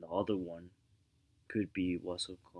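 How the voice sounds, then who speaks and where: A quiet voice at a moderate pace with monotone, flat intonation. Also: man. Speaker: vlogger giving relationship advice. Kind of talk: casual monologue. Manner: speaking quietly; halting, repetitive.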